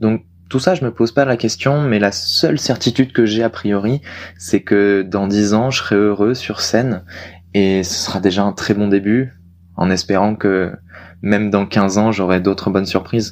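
This man has an unremarkable speaking voice, fairly low in pitch with ordinary pitch variation, talking at a fairly slow pace on a very clean recording with a silent background. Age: 20s. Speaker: aspiring stand-up comedian. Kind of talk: casual chat.

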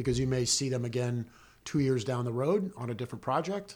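A man speaks in a somewhat breathy voice with an American accent. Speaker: film assistant director. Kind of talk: interview.

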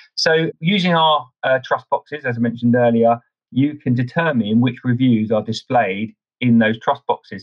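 A man's plain, everyday voice, medium in pitch, with ordinary pitch variation at a moderate pace. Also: very even loudness. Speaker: partner director at a review platform. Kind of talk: casual interview.

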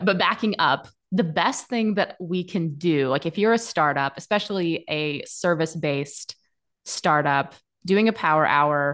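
A woman speaks in a plain, everyday voice, pitched fairly low with ordinary pitch variation. The background is quiet. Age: 30s. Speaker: SEO agency founder. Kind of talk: interview. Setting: video call.

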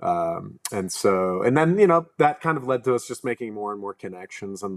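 A man at a moderate pace with lively intonation. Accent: American. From Pennsylvania, near Philadelphia. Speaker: brewery co-owner. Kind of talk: casual interview. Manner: halting, many fillers.

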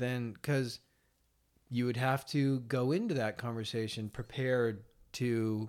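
A medium-pitched man with an American accent, on a very clean recording with a silent background. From Seattle, US Pacific Northwest. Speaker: medical sales rep. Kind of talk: casual chat.

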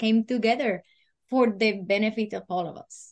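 Against a quiet background, a woman with a Spanish accent talks at a moderate pace. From Puerto Rico. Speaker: freight business owner. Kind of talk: interview. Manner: halting.

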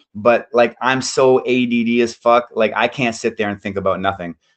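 A man's normal speaking voice with a Canadian accent, medium pitch, fairly even intonation and a moderate pace. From Canada, Ontario. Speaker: jiu-jitsu brown belt. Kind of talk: casual chat.

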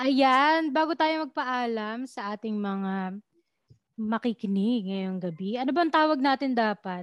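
High-pitched woman's voice with ordinary pitch variation, fairly slow pace, dry, close sound with no echo and a quiet background. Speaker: podcast host. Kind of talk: casual chat. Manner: animated.

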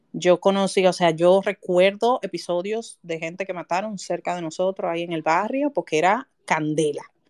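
A woman's medium-pitched voice with a Dominican accent, at a moderate pace with hardly any pauses, ordinary pitch variation, and a dry, close sound with no echo. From Dominican Republic, Santo Domingo. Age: 30s. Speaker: writer. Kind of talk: casual chat. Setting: live audio space online.

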